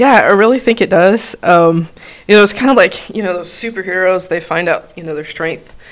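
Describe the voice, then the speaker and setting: With an American accent, a woman talks at a fairly quick pace in an unremarkable speaking voice of medium pitch, her pitch varying in an ordinary way while her loudness swings widely. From Texas, El Paso. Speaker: flight nurse and paramedic. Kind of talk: casual interview.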